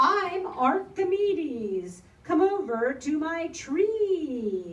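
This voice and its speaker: Putting on a character voice, a woman speaks at a very slow pace with an extremely high pitch. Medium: read story. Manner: warm, welcoming.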